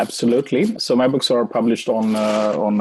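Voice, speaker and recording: Here a man talks with a Swedish accent. His pitch sits in the medium range. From Sweden. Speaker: author and marketing expert. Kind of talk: interview.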